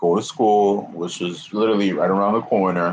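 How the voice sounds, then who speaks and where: A man with a New York accent speaks in a fairly low pitch. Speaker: YouTuber. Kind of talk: casual livestream chat. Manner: halting.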